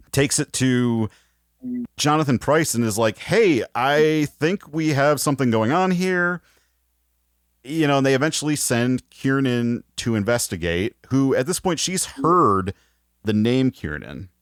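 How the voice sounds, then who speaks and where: Speaking fairly slowly with an American accent, a man uses lively intonation at a medium pitch. The recording is very clean with a silent background, and the sound is dry and close with no echo. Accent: slides between Wisconsin and Chicago accents. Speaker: podcast host. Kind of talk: casual chat.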